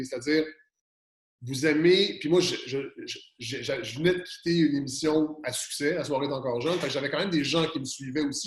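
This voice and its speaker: A man with a Quebec accent speaks in a fairly high pitch. His pace is fairly quick, with ordinary pitch variation. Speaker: podcaster. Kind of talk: interview. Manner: fast; animated.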